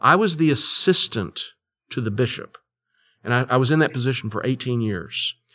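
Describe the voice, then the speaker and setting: Over a silent background on a very clean recording, a man speaks at medium pitch and a moderate pace. His tone is bright and sharp, with lively intonation. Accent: Texan. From Texas, Fort Worth. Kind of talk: interview. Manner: halting.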